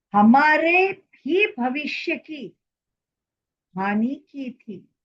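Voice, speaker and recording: Very wide pitch swings in a high-pitched female voice. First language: Marathi (speaking Hindi). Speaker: social commentator. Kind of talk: opinion monologue.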